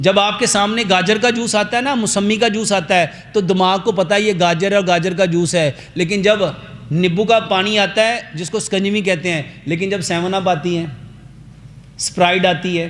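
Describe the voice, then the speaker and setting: Over noticeable background noise, a man speaks in a high pitch with an animated tone. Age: 50s. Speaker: herbal health doctor. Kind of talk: health talk to audience. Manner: animated, rhetorical questions.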